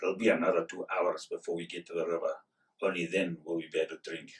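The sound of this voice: A man puts on a gruff character voice. He rattles along at a very fast pace.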